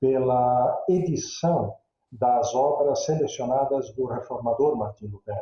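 Speaking at a fairly slow pace, a man holds a medium pitch with ordinary variation. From Brazil, interior of Santa Catarina. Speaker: theology professor. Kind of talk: interview. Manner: halting, many fillers.

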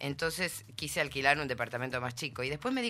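With music in the background, a woman speaks at a very deep, low pitch with very wide pitch swings. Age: 50s. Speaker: interview guest. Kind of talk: casual chat.

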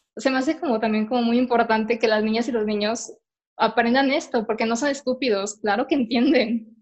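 A woman with a Mexican accent, fairly high pitch, fairly quick pace, fairly even intonation and very even loudness. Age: 20s. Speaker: podcast host. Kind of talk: casual chat. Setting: at home.

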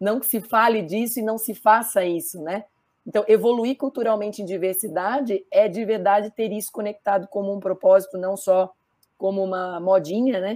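In a normal speaking voice, a woman at medium pitch talks at a moderate pace with fairly even intonation and big swings in loudness. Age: 50s. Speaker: diversity and business consultant. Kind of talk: panel discussion.

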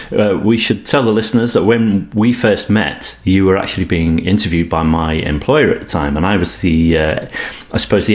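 Over noticeable background noise, a voice with a British accent moves at a fairly quick pace with ordinary pitch variation. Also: man. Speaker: podcast host. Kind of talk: interview.

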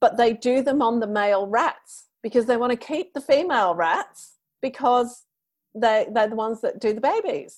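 A woman's voice with a British accent, fairly high in pitch, at a moderate pace with ordinary pitch variation, on a very clean recording with a silent background. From UK. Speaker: menopause podcaster. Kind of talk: interview conversation. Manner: animated.

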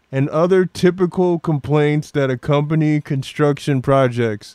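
On a very clean recording with a silent background and a dry, close sound with no echo, a man with an American accent and an unremarkable speaking voice talks at a fairly high pitch and fairly slow pace, with ordinary pitch variation. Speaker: podcast host. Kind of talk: casual comedic rant. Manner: irreverent, joking.

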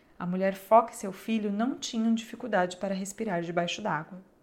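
A medium-pitched woman's voice with a Brazilian accent. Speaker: audiobook narrator. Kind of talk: fairy-tale audiobook narration, storyteller reading a folk tale aloud. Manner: shifts to tender, pleading tones for the child's and mother's lines.

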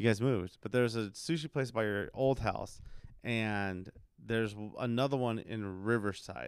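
With a moderate pace, he speaks using ordinary pitch variation. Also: medium pitch for a man. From US, Mexican-American. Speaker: podcast host and church minister. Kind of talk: casual chat. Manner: animated, laughs often.

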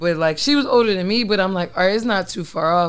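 A woman with a fairly low pitch speaks in an animated tone with lively intonation. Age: 30s. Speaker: podcast host. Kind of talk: casual chat. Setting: studio.

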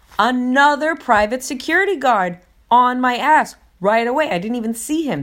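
A woman with an American accent on a very clean recording with a silent background. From New York / New Jersey area. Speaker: podcaster. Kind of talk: storytelling monologue. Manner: casual, halting with many fillers.

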